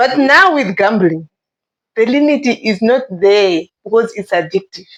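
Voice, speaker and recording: Pitched fairly high, a woman talks at a fairly slow pace with very wide pitch swings. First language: not English. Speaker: guest in discussion. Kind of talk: casual discussion.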